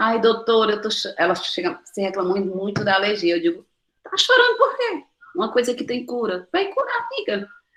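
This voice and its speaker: A woman talks at a fairly quick pace in an animated tone, her fairly high voice showing ordinary pitch variation. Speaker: nutritionist. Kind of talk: online talk Q&A. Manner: fast.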